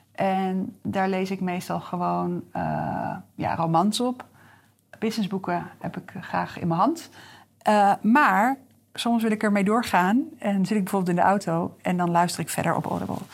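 A woman with a plain, everyday voice speaks at a fairly slow pace and medium pitch, with ordinary pitch variation. The recording is very clean, with a silent background. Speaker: business coach. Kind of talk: solo podcast monologue. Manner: casual, with frequent fillers.

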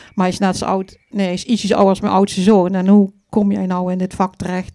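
The speaker is a woman with a dark, mellow tone. She keeps a moderate pace. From Vierlingsbeek, Dutch Limburg. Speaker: funeral celebrant. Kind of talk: live stage interview. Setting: stage with audience.

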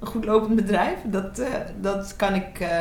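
A woman of medium pitch is heard with audible room echo and noticeable background noise. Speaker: TV presenter and media entrepreneur. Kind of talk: interview. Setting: club room in Amsterdam.

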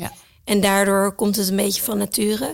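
A woman at a medium pitch and a moderate pace. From Thailand and the Netherlands. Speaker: entrepreneur and mother. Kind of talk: casual interview.

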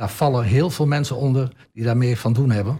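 Somewhat breathy, this man's medium-pitched voice has a dark, mellow tone. His intonation is fairly even. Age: 70s. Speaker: municipal councillor. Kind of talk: radio interview. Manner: halting, many repetitions and fillers.

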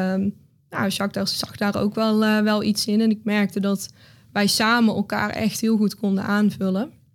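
Delivery proceeds at a moderate speed. The intonation stays flat and monotone. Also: woman. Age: 20s. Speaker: business coach. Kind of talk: interview conversation. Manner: hesitant, many fillers.

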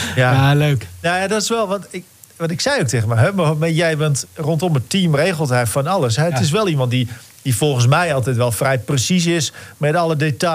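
A man at a fairly quick pace, against noticeable background noise. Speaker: sports podcast co-host. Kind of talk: casual chat. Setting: studio.

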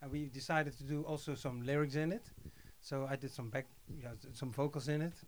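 With a Dutch accent, a man speaks at a fairly quick pace in a fairly high pitch with fairly even intonation. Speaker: music composer. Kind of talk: interview. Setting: studio.

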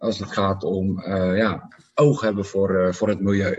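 Speaking very slowly, a man holds a fairly low pitch with monotone, flat intonation. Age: 30s. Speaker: startup founder. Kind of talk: interview. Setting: office.

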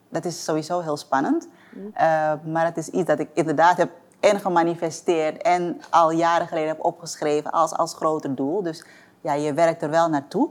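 With an ordinary speaking voice, a woman talks at a moderate pace in a fairly low pitch, her intonation fairly even but her loudness swinging widely. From Suriname (Paramaribo), moved to Amsterdam at nine. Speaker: entrepreneur. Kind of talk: interview.

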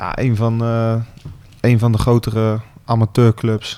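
This man talks at a medium pitch with monotone, flat intonation. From Gelderland, Netherlands (Otterlo). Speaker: football team captain. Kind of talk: radio interview. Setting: club boardroom.

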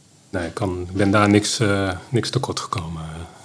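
Fairly low in pitch, a man speaks at a fairly slow pace with ordinary pitch variation. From Netherlands, North Brabant (Schijndel). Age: 50s. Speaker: adoptee telling his life story. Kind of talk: interview, personal testimony. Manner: halting, many hesitations.

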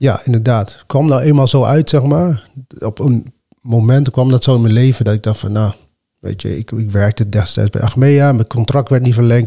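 A man speaks at a medium pitch with a dark, mellow tone. His voice is somewhat breathy, and the sound is dry and close with no echo. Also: ordinary pitch variation, moderate pace. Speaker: martial arts fighter and coach. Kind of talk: casual chat. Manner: calm.

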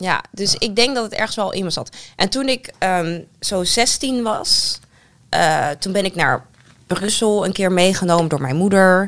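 Lively intonation from a woman at medium pitch and a fairly slow pace. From Netherlands. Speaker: politician. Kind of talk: casual chat. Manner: clear.

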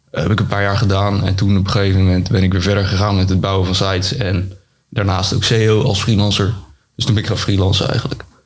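Very fast and in a monotone, flat intonation, a man with a fairly low pitch speaks at very even loudness against audible room echo. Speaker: SEO consultant and tool developer. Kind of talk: interview. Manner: halting.

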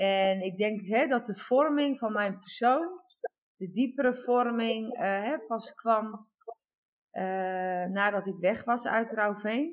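A woman with a fairly high pitch and ordinary pitch variation speaks at a very slow pace, leaving long, frequent pauses. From Netherlands, Overijssel. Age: 40s. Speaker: guest telling life story. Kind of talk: testimony. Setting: remote call. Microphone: echo.

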